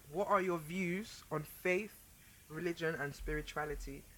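A woman with a plain, everyday voice, fairly low in pitch, at a moderate pace with ordinary pitch variation. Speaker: podcast host. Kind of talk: casual banter, chat.

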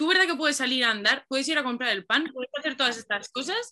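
The speaker is a woman talking very fast. Her pitch moves up and down in an ordinary way. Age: 20s. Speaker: poet and advertising copywriter. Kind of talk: casual chat.

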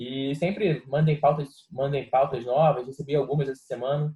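His voice is fairly high for a man and somewhat breathy. The intonation stays fairly even. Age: 20s. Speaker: football podcast co-host. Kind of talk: casual chat.

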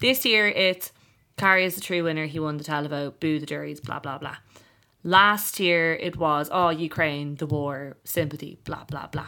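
In an Irish accent, a woman speaks at a moderate pace with a very deep, low pitch and a bright, sharp tone. The recording is very clean, the background silent. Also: ordinary pitch variation. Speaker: podcast host. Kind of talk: casual chat. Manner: animated.

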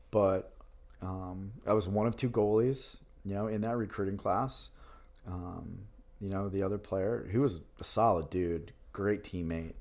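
A man's ordinary speaking voice with an American accent and fairly even intonation. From Hudson Valley, New York. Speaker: pro lacrosse goalie. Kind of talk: casual interview.

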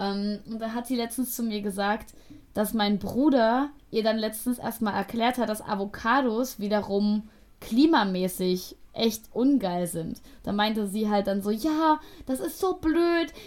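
The recording is very clean, with a silent background, as a woman speaks in a plain, everyday voice at a fairly slow pace. Her fairly high pitch carries lively intonation. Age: 20s. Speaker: podcast co-host. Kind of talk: casual chat.

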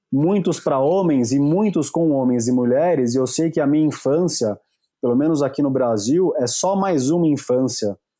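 With a quiet background, a man speaks at a fairly high pitch in a dark, mellow tone. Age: 40s. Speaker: therapist and speaker on masculinity. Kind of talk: casual chat.

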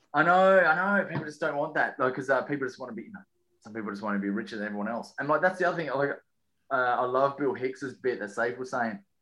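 A man with an Australian accent speaks very fast in a medium-pitched voice, bright and sharp in tone, with lively intonation and big swings in loudness. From Western Australia. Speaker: comedian. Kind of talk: casual chat.

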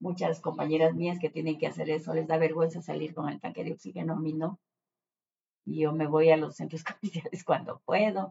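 There is vocal fry in this woman's very deep, low voice as she talks at a fairly quick pace. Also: ordinary pitch variation. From Ecuador, Ambato (Andean highlands). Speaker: retired journalist. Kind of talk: interview.

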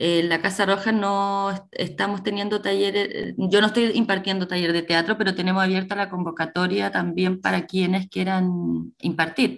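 A woman talks with hardly any pauses. Her intonation is monotone and flat. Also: medium pitch for a woman, moderate pace, very clean recording, silent background. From Chile, Coquimbo region. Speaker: actress and theatre teacher. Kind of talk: radio interview.

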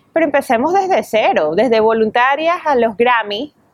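A woman with an ordinary speaking voice, fairly high in pitch, with ordinary pitch variation. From Venezuela. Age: 30s. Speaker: entertainment reporter and radio host. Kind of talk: interview.

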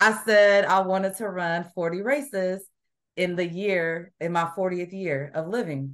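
A woman speaks fairly slowly in an unremarkable speaking voice. Her medium pitch shows ordinary variation. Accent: American. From US Midwest. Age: 40s. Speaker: amateur runner. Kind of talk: casual interview. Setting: remote call.

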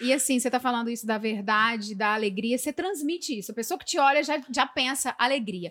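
A woman's high-pitched voice at a very fast pace, with hardly any pauses, ordinary pitch variation, and a very clean recording against a silent background. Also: big swings in loudness. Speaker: podcast host. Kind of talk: casual chat.

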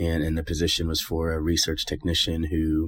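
Moderate pace with an American accent. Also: man. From East Texas (Tyler). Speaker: physician. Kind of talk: personal story monologue. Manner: hesitant with frequent ums.

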